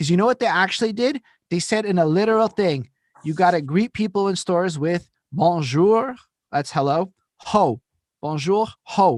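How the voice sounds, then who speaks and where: Speaking with a Montreal accent, a man has a high pitch, lively intonation and an animated tone. His moderate pace comes through in a dry, close sound with no echo. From Quebec, Montreal. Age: 30s. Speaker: podcast host. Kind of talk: casual chat.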